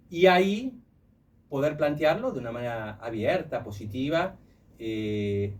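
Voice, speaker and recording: A man talks with a slight Italian accent and very wide pitch swings. His voice is somewhat breathy. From Italy. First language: Italian (speaking Spanish). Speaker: human resources professional. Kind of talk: radio interview. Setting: radio studio.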